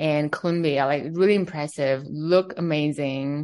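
Over a quiet background, a woman with a Chinese accent speaks at a moderate pace and a very deep, low pitch. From China, Beijing. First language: Mandarin Chinese. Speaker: fashion executive. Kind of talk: interview.

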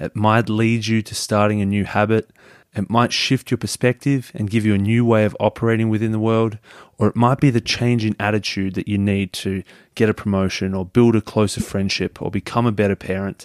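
A man with an Australian accent speaks at a fairly quick pace and a fairly low pitch, in a very clean recording with a silent background. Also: fairly even intonation, dry, close sound with no echo. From Melbourne, Australia. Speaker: podcaster. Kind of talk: scripted podcast promo.

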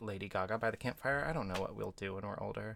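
A man's voice with vocal fry. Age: 20s. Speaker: podcast co-host. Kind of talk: casual chat. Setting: studio. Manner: loud.

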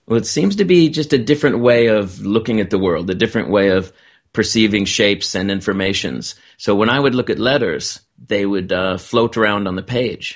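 Over a quiet background, a man with a normal speaking voice talks at a moderate pace and fairly low pitch, his pitch varying in an ordinary way. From United States. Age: 50s. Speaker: author and TV producer. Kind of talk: interview.

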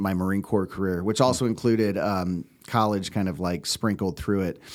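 On a very clean recording with a silent background, an ordinary speaking voice with an American accent shows ordinary pitch variation. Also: man. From US West Coast, California Bay Area. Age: 40s. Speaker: podcast producer, Marine veteran. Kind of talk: casual interview. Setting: studio.

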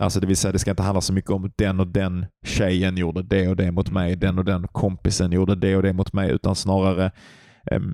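In a very clean recording with a silent background, a man with a very deep, low pitch and a dark, mellow tone speaks at a fairly quick pace, the sound dry and close with no echo. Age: 30s. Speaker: podcast co-host, meditation practitioner. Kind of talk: casual chat.

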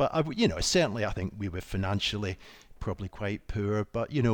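Speaking very fast with a Scottish accent, a man uses a fairly low voice with fairly even intonation. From Scotland. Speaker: medic and founder of a medical equipment company. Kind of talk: casual interview. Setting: video call.

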